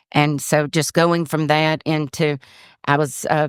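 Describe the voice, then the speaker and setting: A woman with a Georgia accent speaks in a very deep, low voice with monotone, flat intonation. The recording is very clean, with a silent background and a dry, close sound with no echo. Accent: Southern American (Georgia). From US South, Georgia (Forsyth County). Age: 60s. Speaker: retired county commissioner. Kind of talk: casual interview chat.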